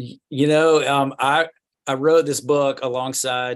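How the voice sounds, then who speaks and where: A man with a normal speaking voice, fairly even intonation and a fairly slow pace against a quiet background. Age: 40s. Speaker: school head and youth ministry author. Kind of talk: casual interview. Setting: video call.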